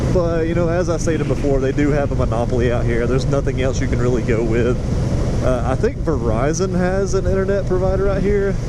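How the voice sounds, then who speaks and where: The man talks very fast at a very even loudness. Noticeable background noise and audible room echo are present. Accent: American. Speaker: motorcycle vlogger. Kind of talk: casual monologue while riding. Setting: riding a motorcycle outdoors.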